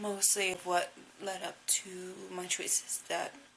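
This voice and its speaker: A woman is speaking, and noticeable background noise can be heard behind her. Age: 20s. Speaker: recovering drug user. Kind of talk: casual talk to camera.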